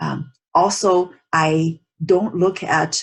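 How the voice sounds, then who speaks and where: A woman's fairly low, somewhat breathy voice with a non-native accent and ordinary pitch variation. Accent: non-native English pronunciation. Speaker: teacher, psychologist. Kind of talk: online lecture. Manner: halting with many fillers.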